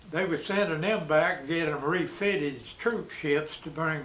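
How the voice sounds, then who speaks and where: Recorded with audible room echo and noticeable background noise, a man with an East Tennessee accent talks at a moderate pace and a fairly high pitch, with ordinary pitch variation and big swings in loudness. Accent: East Tennessee Southern. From US South. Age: 90s. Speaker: war veteran. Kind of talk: oral history interview. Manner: halting.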